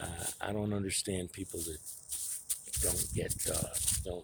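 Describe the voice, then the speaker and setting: Somewhat breathy, a man talks at a very slow pace. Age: 60s. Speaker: foundry worker giving life advice vlog. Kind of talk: casual monologue vlog. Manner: casual, profane.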